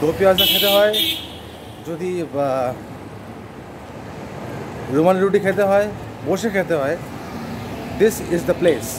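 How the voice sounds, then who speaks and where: High-pitched male speech with ordinary pitch variation, over noticeable background noise. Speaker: food vlogger. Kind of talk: casual vlog chat. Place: street. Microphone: lapel.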